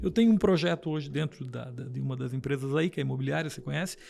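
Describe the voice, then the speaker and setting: Male speech captured very cleanly against a silent background. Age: 60s. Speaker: businessman. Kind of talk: interview. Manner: halting, with many repetitions.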